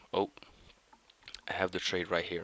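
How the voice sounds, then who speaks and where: A man's bright, sharp tone is captured in a dry, close sound with no echo. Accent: non-native. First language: not English. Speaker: day trader, video creator. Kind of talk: trading review. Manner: halting.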